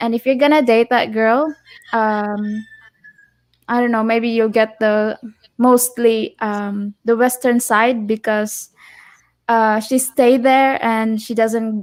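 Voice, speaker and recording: A woman with a Filipino accent speaks at a very slow pace in a fairly high pitch, with monotone, flat intonation and long, frequent pauses. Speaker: co-host, vlogger's girlfriend. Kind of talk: live stream chat.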